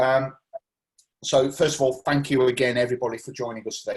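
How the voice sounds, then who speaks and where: Somewhat breathy, a man of medium pitch speaks at a very fast pace. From northern England, Greater Manchester (Salford, Whitefield). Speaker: local councillor hosting community meeting. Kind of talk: casual online meeting chat. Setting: video call.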